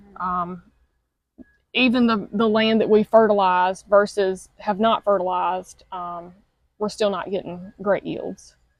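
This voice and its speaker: Her intonation fairly even, a woman speaks at medium pitch in a Southern US accent. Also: big swings in loudness. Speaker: cattle farmer. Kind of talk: interview answer.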